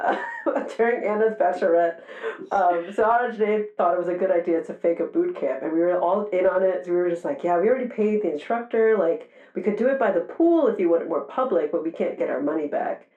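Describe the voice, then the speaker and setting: Lively intonation marks a woman's medium-pitched voice. She talks at a very fast pace over noticeable background noise. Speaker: podcast guest. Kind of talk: casual chat. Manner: animated.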